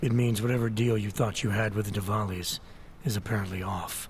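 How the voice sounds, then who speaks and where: Someone does a raspy put-on character voice in a serious tone, talking at a fairly quick pace with fairly even intonation over clear background noise. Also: man, fairly low pitch for a man. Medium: video game. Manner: terse, controlled, serious.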